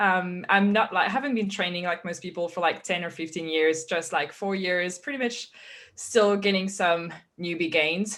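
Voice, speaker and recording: The recording is very clean, with a silent background. A woman with a fairly low pitch speaks at a moderate pace with ordinary pitch variation. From France. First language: French. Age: 20s. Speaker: fitness coach. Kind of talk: interview.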